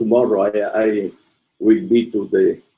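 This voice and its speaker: At a very slow pace, a man speaks in a medium pitch with a dark, mellow tone. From Italy. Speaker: professor. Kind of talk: lecture. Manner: halting.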